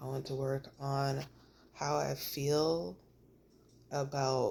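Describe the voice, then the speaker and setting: Very slowly, a woman talks on a very clean recording with a silent background. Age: 30s. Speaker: vlogger sharing personal journey. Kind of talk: personal vlog monologue. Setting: recording alone to camera. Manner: casual, halting.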